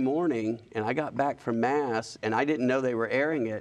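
A man with an Alabama accent, medium pitch, fairly even intonation and a moderate pace. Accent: Southern US (Alabama). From US South, Alabama (Huntsville). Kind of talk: interview.

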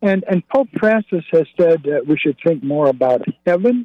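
With an American accent and an unremarkable speaking voice, a man talks at a moderate pace. His intonation is lively. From US Northwest, North Idaho and Spokane. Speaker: caller. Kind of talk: caller on a radio call-in show.

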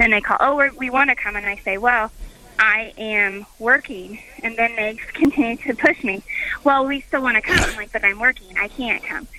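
Noticeable background noise sits behind a woman's fairly high voice. She speaks at a moderate pace with ordinary pitch variation. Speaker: caller. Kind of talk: call-in advice.

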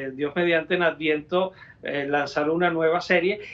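This man has a Venezuelan accent and a high-pitched voice. He talks at a moderate pace. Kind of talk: interview. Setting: studio. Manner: halting, with frequent repetitions.

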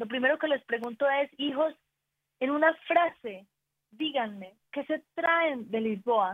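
A woman with an Antioquian accent. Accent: Colombian paisa (Antioquia) Spanish. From Colombia, Antioquia. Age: 40s. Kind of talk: casual chat.

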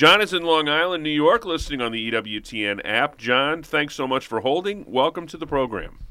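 An unremarkable speaking voice, a man's at fairly high pitch, with lively intonation and a moderate pace. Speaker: radio show co-host. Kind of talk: casual radio call-in show. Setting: studio.

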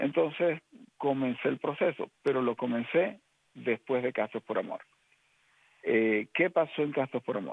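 A man's fairly slow speech with lively intonation and long, frequent pauses. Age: 50s. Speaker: lay ministry member. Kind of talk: testimony. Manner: halting, many fillers.

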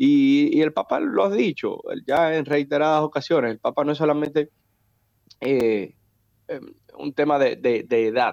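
The speech moves at a fairly slow pace with long, frequent pauses. The sound is dry and close, with no echo. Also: man. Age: 30s. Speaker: politician. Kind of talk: interview.

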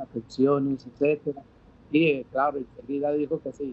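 Here a man talks. His pace is fairly slow. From Dominican Republic. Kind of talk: interview testimony. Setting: outdoor patio, remote link.

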